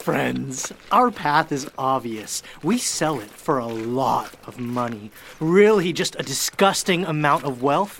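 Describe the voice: A woman puts on a character voice at an extremely low pitch for a woman. She speaks slowly with lively intonation.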